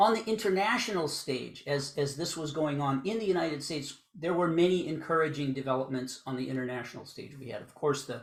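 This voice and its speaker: In an American accent, a man with a fairly high, somewhat breathy voice talks at a fairly quick pace with hardly any pauses, ordinary pitch variation and big swings in loudness, in audible room echo. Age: 60s. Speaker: law professor. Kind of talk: lecture.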